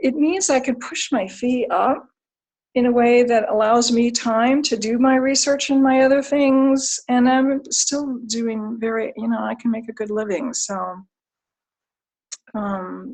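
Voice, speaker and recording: Speaking at a fairly slow pace, the woman has a high-pitched voice. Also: ordinary pitch variation. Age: 60s. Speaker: clinical psychologist. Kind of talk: career talk.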